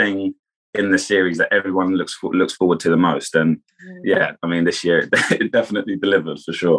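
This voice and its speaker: A man with a southern English accent talks at a moderate pace. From Kent, England. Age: 20s. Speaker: reality TV contestant and former footballer. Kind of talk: casual interview chat.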